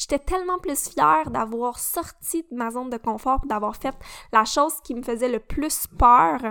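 On a very clean recording with a silent background, a woman speaks at a fairly slow pace in a high pitch. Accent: Quebec. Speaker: podcast host, mindset coach. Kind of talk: casual solo talk.

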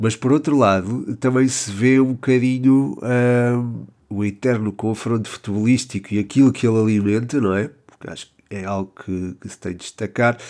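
A man with a European Portuguese accent speaks with ordinary pitch variation. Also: big swings in loudness. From Portugal. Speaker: football podcaster. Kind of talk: solo podcast commentary. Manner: hesitant, many fillers.

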